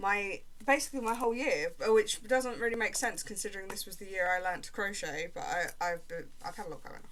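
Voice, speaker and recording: A woman with a British accent at a fairly quick pace, with audible room echo. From Britain. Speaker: crochet vlogger. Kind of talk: casual vlog chat while crafting. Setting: at home, upstairs room. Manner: casual, rambling with many fillers.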